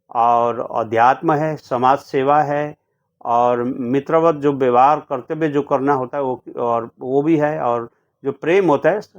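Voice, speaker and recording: A man with a Nepali accent talks with fairly even intonation. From India, Sikkim (Gangtok). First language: Nepali (speaking Hindi). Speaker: poet and translator. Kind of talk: interview. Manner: halting, with many fillers.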